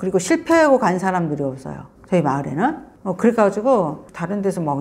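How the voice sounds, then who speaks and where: A woman's vocal fry at a fairly quick pace. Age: 60s. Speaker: author and rural pension owner. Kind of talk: interview. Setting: visiting Seoul. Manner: casual, conversational with fillers.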